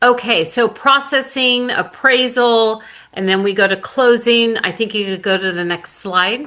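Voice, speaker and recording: Against a quiet background, a woman with a fairly high voice talks at a fairly slow pace with ordinary pitch variation. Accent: American. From California, SF Bay Area peninsula. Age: 60s. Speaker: reverse mortgage advisor. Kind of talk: seminar presentation.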